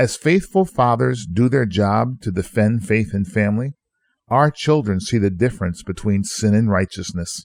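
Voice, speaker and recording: A man's medium-pitched, plain, everyday voice at a moderate pace with lively intonation. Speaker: pastor. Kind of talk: sermon-style radio teaching.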